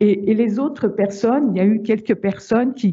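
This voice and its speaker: The speech moves at a fairly slow pace with ordinary pitch variation. The voice is somewhat breathy. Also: woman. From Paris. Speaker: survivor of domestic violence. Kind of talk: testimony. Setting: video call. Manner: halting, many repetitions.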